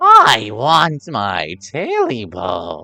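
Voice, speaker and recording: A put-on character voice, low in pitch, hoarse and croaky. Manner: eerie, wanting.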